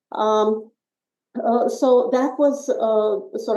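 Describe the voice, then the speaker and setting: A woman talks with a Russian accent. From Soviet Union, emigrated as teen to US. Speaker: author. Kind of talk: interview. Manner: hesitant with frequent fillers.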